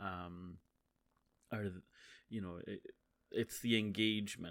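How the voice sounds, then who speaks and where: A man speaks at a moderate pace in a very deep, low pitch, his intonation flat and monotone, with a Scottish accent. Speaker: podcaster and streamer. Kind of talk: casual solo monologue. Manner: halting, many fillers.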